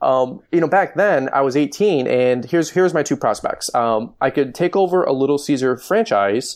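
A man has a normal speaking voice, a fairly high pitch and an American accent, with lively intonation at a moderate pace. His loudness stays very even against a quiet background. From Michigan. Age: 30s. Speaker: lawn care business owner and YouTuber. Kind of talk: interview.

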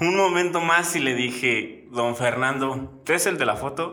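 Noticeable background noise accompanies speech delivered at a fairly slow pace. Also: man. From Mexico, Guanajuato. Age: 30s. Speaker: cycling traveler. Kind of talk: interview storytelling.

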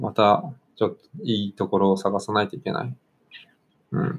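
Speaking at a moderate pace, a man uses a fairly low pitch with vocal fry. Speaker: football podcast host. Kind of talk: casual chat.

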